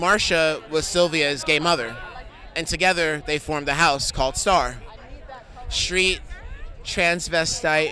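Over crowd noise in the background and audible room echo, someone with an American accent speaks at a fairly slow pace with fairly even intonation. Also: man. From New York City. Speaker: documentary filmmaker. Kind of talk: red carpet interview.

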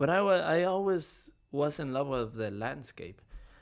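A man with a Spanish accent at a fairly slow pace, ordinary pitch variation, very clean recording with a silent background. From Mexico. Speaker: leather craftsman and entrepreneur. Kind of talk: casual interview.

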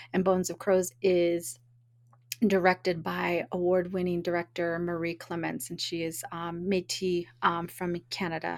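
A woman with an American accent speaks fairly slowly at a fairly low pitch, in a monotone, flat delivery. The recording is very clean with a silent background. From US West Coast, Oakland, California. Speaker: film festival director. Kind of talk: interview. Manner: hesitant, many fillers.

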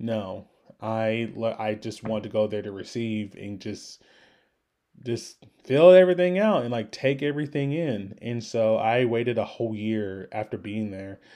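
A man talks at a moderate pace with a dark, mellow tone and ordinary pitch variation. His loudness swings widely. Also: medium pitch for a man. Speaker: podcast host. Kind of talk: casual monologue. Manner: casual with frequent fillers.

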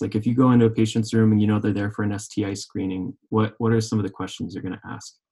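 A man's fairly low, somewhat breathy voice with an American accent and fairly even intonation. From Oklahoma. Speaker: PA student about to graduate. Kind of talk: panel discussion, live recording.

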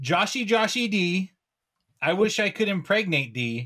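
The speech moves at a fairly slow pace with a bright, sharp tone. Its pitch swings very widely. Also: man. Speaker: podcast host. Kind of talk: casual banter. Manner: joking, sarcastic.

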